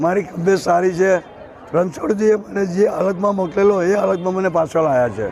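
A man's high-pitched voice with audible room echo and crowd noise in the background. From India, Gujarat (Vadodara). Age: 70s. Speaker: businessman and pilgrim motorcyclist. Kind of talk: street interview.

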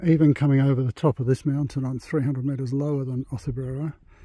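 Flat and monotone, the voice has a dark, mellow tone and a somewhat breathy quality in a dry sound with no echo. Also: man. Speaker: hiking pilgrim vlogger. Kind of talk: casual vlog chat. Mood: cheerful, enjoying the view. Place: open country. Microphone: phone near.

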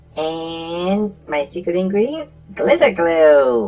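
The speaker uses a put-on character voice at a middle pitch and a very slow pace. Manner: proud, deliberate.

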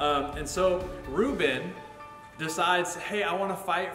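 Over clear music in the background, a man talks with audible room echo. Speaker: church teacher. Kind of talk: Bible story teaching to camera. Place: church.

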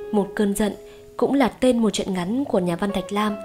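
Backed by music, a woman with a Northern Vietnamese accent speaks at a medium pitch with fairly even intonation. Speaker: audiobook narrator. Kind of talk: podcast host introduction.

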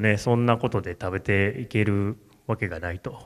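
A man's fairly low voice at a moderate pace, with a quiet background. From Japan, Kamo, Tokushima; Tokushima, Japan. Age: 40s. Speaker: tea farmer; speaker. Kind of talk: solo stage talk. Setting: stage with audience. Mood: relaxed, reflective, smiling. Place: hall. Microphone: handheld.

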